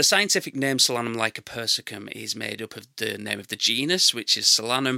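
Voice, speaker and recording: A man with an English accent and a bright, sharp tone is heard in a dry, close sound with no echo, on a very clean recording with a silent background. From England. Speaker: gardening podcast host. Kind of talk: scripted narration.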